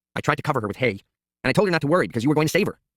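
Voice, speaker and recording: A man speaks at a very fast pace in a put-on character voice. His pitch is fairly high. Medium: read story.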